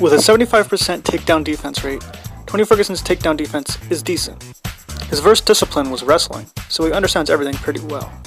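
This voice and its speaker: The talking goes by very fast. Behind it, music is playing. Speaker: animator and MMA analyst. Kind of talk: YouTube analysis voiceover.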